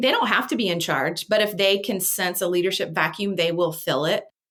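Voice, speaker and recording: A woman's plain, everyday voice at a medium pitch and moderate pace, on a very clean recording with a silent background. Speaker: communication trainer. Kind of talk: interview.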